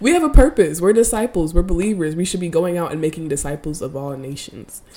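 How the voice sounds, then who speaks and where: Her tone is dark and mellow, and this woman's pitch sits fairly low. She talks at a fairly quick pace. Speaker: faith podcast host. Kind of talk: devotional monologue. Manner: casual.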